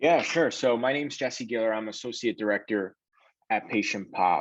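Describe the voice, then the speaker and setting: A man with a strong New York accent talks at a moderate pace in a fairly low voice. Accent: thick New York. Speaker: sales director. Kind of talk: career talk, interview. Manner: casual, filler-heavy.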